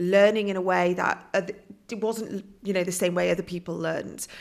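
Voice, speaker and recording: A woman with a British accent speaks in a fairly low pitch with flat, monotone intonation. The recording is very clean, with a silent background. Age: 40s. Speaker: author and coach. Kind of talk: podcast interview.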